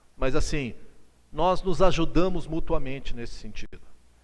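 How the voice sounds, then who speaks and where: Fairly slow, animated speech with audible room echo. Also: man. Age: 60s. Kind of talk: lecture. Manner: conversational, animated.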